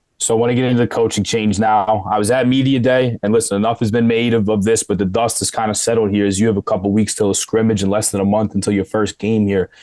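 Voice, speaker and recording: A man talks at a very fast pace with hardly any pauses, in a fairly low pitch. His intonation is monotone and flat, his loudness very even. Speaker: podcast co-host. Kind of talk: casual interview.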